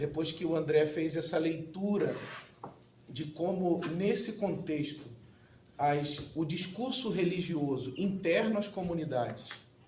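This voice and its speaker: Audible room echo and noticeable background noise surround a man speaking at a high pitch with ordinary pitch variation. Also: fairly slow pace. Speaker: pastor and political adviser. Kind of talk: conference panel talk.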